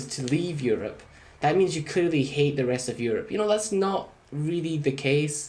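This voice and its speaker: With a British accent and lively intonation, a man speaks at a moderate pace and fairly high pitch, with audible room echo. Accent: UK. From Scotland. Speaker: gaming YouTuber. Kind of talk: let's play commentary. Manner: casual, conversational with many fillers.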